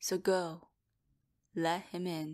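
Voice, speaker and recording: A woman speaks softly in a gentle tone. The recording is very clean, with a silent background. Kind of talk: sleep story. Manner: soft-spoken, gentle.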